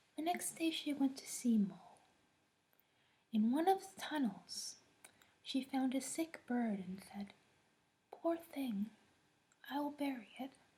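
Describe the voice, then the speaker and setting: A soft-spoken woman with a high pitch talks at a fairly slow pace in a soothing tone, with long, frequent pauses. Her intonation is lively and her loudness swings widely. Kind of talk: soft fairy tale reading at bedtime. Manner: soft-spoken, soothing.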